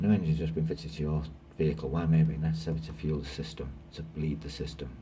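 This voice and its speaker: Mumbling in a British accent, a man speaks with a very deep, low pitch and ordinary pitch variation. Audible room echo and noticeable background noise surround him. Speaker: trainee lorry driver. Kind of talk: reading quiz questions aloud while taking a mock test. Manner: fast, hurried.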